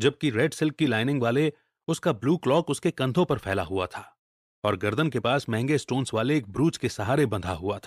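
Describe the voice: Over a quiet background comes plain reading aloud.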